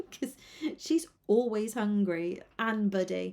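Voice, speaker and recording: This woman has a British accent. She talks at a very slow pace. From UK. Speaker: cat portrait artist. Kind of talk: casual livestream chat while drawing. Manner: hesitant, many fillers.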